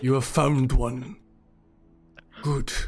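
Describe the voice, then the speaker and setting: A put-on character voice at a low-to-middle pitch, with music in the background. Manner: commanding.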